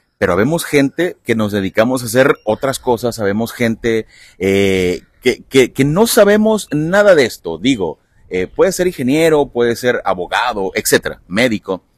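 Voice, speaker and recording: With a dry, close sound and no echo, a man talks at a moderate pace and a medium pitch, making very wide pitch swings. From Mexico, Veracruz (Lerdo de Tejada). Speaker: podcast host. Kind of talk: casual interview. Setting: outdoors at a football field.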